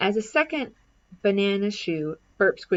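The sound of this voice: A reading voice that sounds unforced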